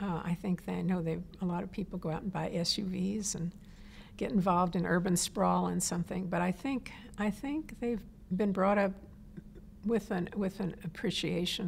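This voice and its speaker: A woman's medium-pitched voice with vocal fry, fairly even intonation, and a moderate pace. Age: 70s. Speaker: environmental activist. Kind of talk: interview. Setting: on camera interview.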